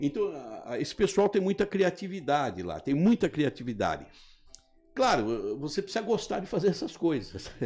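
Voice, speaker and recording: Over music in the background, a high-voiced man speaks at a moderate pace with very wide pitch swings. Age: 70s. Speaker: politician. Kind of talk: interview. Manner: halting.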